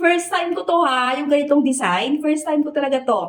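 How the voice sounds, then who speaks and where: An animated woman's voice, high-pitched, at a moderate pace. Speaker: online seller. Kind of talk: sales pitch.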